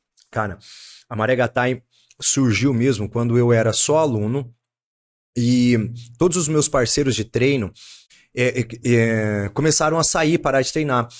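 Recorded very cleanly over a silent background, a man speaks fairly slowly at a medium pitch with ordinary pitch variation, very even loudness and long, frequent pauses. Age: 30s. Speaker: martial arts gym owner and kickboxing coach. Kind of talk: casual chat.

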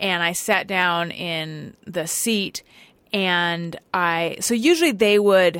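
A woman with a fairly low pitch and a slight Californian accent. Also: very clean recording, silent background. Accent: slight California. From Southern California. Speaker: podcast host. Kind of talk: casual chat. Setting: studio.

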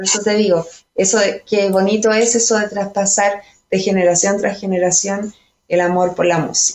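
The pitch of this woman's voice is medium. She speaks with monotone, flat intonation. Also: moderate pace. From Chile, Colchagua (central Chile). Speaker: singer-songwriter. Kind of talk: casual interview chat. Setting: remote from home.

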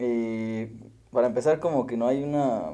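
A man talks fairly slowly with ordinary pitch variation. His tone is dark and mellow. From Mexico, Morelia, Michoacán. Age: 20s. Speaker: podcast host. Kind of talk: casual chat.

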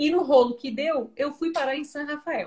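High-pitched female speech with ordinary pitch variation. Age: 30s. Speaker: parenting educator. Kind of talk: casual interview on a live stream. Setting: online live video call.

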